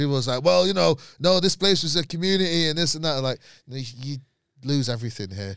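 A man speaks at a very fast pace. His voice is fairly high, with lively intonation. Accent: Mancunian. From Manchester, Moss Side. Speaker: comedian. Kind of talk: casual chat.

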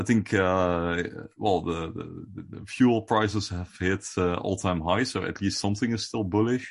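Over a quiet background, a man in a normal speaking voice talks fairly slowly, fairly low in pitch, with fairly even intonation. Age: 20s. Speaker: crypto podcast co-host. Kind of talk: casual chat.

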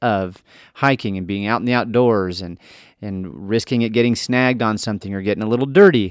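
A man at a fairly quick pace with ordinary pitch variation, in a very clean recording with a silent background and a dry, close sound without echo. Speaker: podcast host. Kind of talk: podcast interview intro and conversation.

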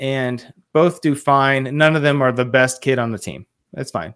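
This is a man with an unremarkable speaking voice at a medium pitch. His pitch varies in an ordinary way. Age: 30s. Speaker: leadership and dad coach. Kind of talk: interview conversation.

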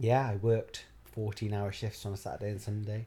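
A man's voice at medium pitch, dark and mellow in tone, at a fairly slow pace. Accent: South Wales. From Wales, Barry. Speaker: actor. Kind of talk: casual chat.

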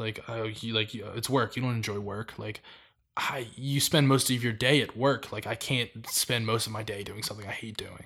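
Bright and sharp in tone, a man speaks at a medium pitch. His pace is moderate and his intonation fairly even. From US, born in Miami, Florida. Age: 20s. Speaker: streetwear brand founder. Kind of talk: casual chat.

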